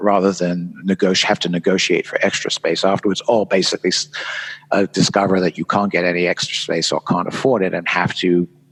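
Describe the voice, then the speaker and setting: A man talks in a very deep, low pitch with a British accent. The sound is dry and close with no echo, and there is noticeable background noise. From England. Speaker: event designer and author. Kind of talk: podcast interview. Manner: halting, many fillers.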